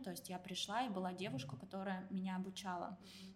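Somewhat breathy and at medium pitch, a woman talks at a fairly quick pace. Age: 30s. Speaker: IT company director and career consultant. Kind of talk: casual interview. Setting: recording at a university building.

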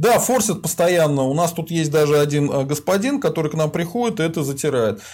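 A man with a plain, everyday voice speaks at a fairly high pitch with lively intonation. His pace is fairly quick, with hardly any pauses. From Volga region, Russia. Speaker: sociologist hosting a stream. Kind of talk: casual live-stream interview.

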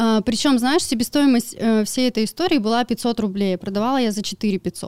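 A woman talks at a fairly quick pace with hardly any pauses, her fairly high pitch showing ordinary variation, in a dry, close sound with no echo. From Siberia, Irkutsk region village. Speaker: crypto trader and blogger. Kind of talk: casual interview. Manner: animated.

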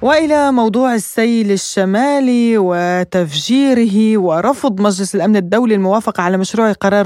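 A woman speaks at a fairly slow pace in a dark, mellow tone. Her pitch variation is ordinary. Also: dry, close sound with no echo. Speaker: radio news host. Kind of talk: news reading. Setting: studio.

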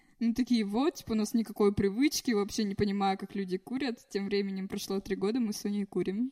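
A woman's fairly high, somewhat breathy voice with a dark, mellow tone, ordinary pitch variation and a fairly quick pace, in a dry, close sound with no echo. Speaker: podcast guest. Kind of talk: casual chat.

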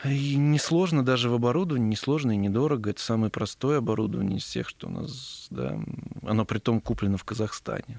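Ordinary pitch variation at a very fast pace. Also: man, medium pitch for a man. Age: 30s. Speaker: entrepreneur, company founder. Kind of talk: casual interview. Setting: studio.

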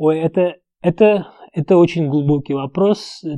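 Against a quiet background, a man with a fairly high pitch and a dark, mellow tone speaks with ordinary pitch variation in a dry, close sound with no echo. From Uzbekistan. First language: Uzbek (speaking Russian). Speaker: entrepreneur. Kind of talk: interview.

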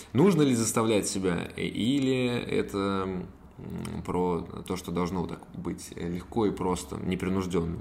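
A man's very deep, low voice at a very slow pace. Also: ordinary pitch variation. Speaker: podcast host. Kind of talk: interview, casual professional chat.

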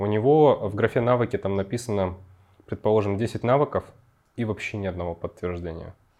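A man at medium pitch speaks at a fairly quick pace, with ordinary pitch variation and long, frequent pauses. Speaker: podcast host. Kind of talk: casual interview.

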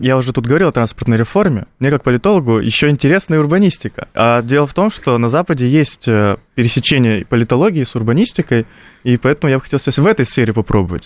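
A man talks at a very fast pace with lively intonation and very even loudness. The sound is dry and close with no echo, on a very clean recording with a silent background. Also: medium pitch for a man. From North Ossetia, Russia. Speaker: political science student. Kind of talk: radio panel discussion.

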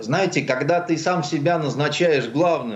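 Vocal fry marks this man's fairly slow speech. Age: 60s. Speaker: writer and journalist. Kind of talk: radio talk show interview.

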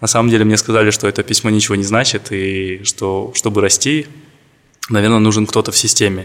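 Noticeable background noise surrounds a man talking at a fairly quick pace, his voice fairly low and his intonation fairly even. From Kazakhstan, Karaganda. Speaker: corporate lawyer. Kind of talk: interview.

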